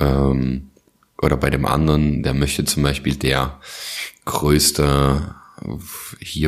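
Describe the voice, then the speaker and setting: At a very slow pace, a man speaks in a very deep, low pitch. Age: 20s. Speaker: podcast co-host. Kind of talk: casual chat.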